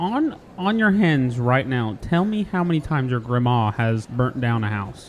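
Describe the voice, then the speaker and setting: A man's animated tone at a moderate pace, medium in pitch, with very wide pitch swings and hardly any pauses. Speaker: podcast host. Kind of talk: casual comedic banter. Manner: animated, joking.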